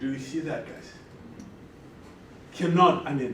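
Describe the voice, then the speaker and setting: A man speaks with ordinary pitch variation. Some room echo can be heard. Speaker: lecturer. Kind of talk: lecture. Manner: loud; animated.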